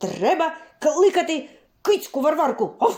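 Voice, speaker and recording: At a moderate pace, this put-on character voice sits at an extremely high pitch. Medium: read story. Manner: interjects barks and puffs.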